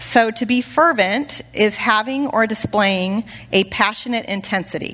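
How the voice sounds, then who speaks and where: A woman's fairly high, bright, sharp voice at a fairly slow pace with ordinary pitch variation. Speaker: women's Bible study teacher. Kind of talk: sermon. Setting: church. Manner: animated.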